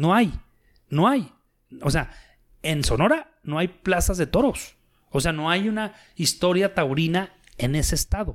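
A man's high-pitched voice with lively intonation at a fairly slow pace, broken by long, frequent pauses, on a very clean recording with a silent background. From Torreón, Coahuila, northern Mexico. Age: 40s. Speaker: retired bullfighter and businessman. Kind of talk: casual interview. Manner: halting, many fillers.

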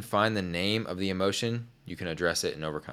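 An unremarkable speaking voice with an American accent moves at a fairly quick pace with ordinary pitch variation, on a very clean recording with a silent background. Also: man. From Oklahoma, small town. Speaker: podcast host. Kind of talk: casual chat.

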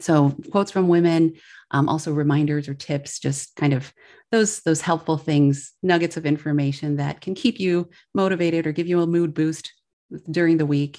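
In an American accent, a woman with a very deep, low pitch and a dark, mellow tone speaks at a moderate pace with fairly even intonation over a very clean recording with a silent background. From Milwaukee, Wisconsin. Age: 40s. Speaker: podcaster and former attorney. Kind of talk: casual interview.

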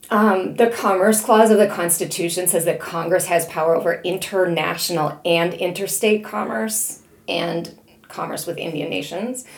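A woman's fairly low voice with a Chicago accent and ordinary pitch variation, plus audible room echo and noticeable background noise. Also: moderate pace. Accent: Chicago Midwestern American. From US Midwest, Chicago area. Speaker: history professor. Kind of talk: academic interview.

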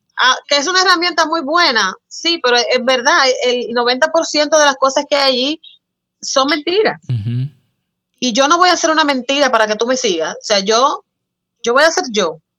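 A raised, projected voice with a bright, sharp tone moves at a moderate pace with lively intonation. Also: woman, high pitch for a woman. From Dominican Republic, San Cristóbal. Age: 20s. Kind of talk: casual interview chat.

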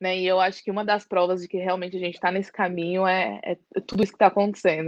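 A woman's monotone, flat delivery at a fairly quick pace. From East Zone of São Paulo, Brazil. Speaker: social worker and activist. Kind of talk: interview.

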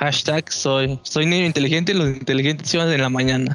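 Music plays behind a man speaking at a fairly quick pace. His voice is fairly high, with fairly even intonation. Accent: Mexican. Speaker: podcast host. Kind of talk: casual chat.

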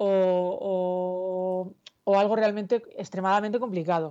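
A woman at a fairly slow pace. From Murcia, southern Spain. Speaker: novelist. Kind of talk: interview. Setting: video call.

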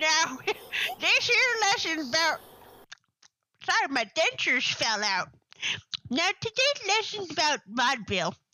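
A put-on character voice, high in pitch with very wide pitch swings, at a fairly slow pace with long, frequent pauses. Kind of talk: old-fashioned folksy.

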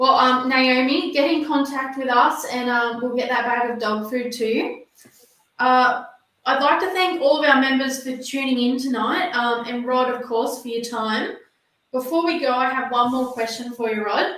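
A woman with an Australian accent speaks at a moderate pace. Her pitch is high, with ordinary pitch variation. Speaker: podcast host. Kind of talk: interview. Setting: video call.

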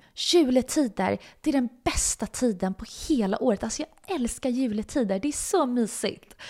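A woman with an unremarkable speaking voice talks at a moderate pace. Her intonation is lively, and the recording is very clean with a silent background. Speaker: podcast host. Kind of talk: personal storytelling monologue. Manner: casual, filler-heavy.

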